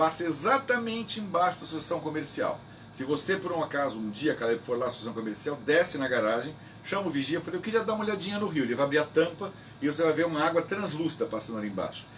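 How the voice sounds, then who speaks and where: A man talking very fast in a fairly high voice, with very wide swings in pitch over noticeable background noise. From Brazil, São Vicente (São Paulo coast). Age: 60s. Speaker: local historian, president of a historical institute. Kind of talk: radio interview. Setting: radio interview recorded at the institute.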